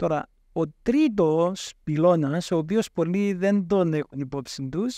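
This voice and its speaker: Speaking at a very slow pace, a man has a high voice. The sound is dry with no echo, and the background is quiet. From Cyprus. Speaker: professor of entrepreneurship. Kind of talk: interview. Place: studio. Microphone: studio mic.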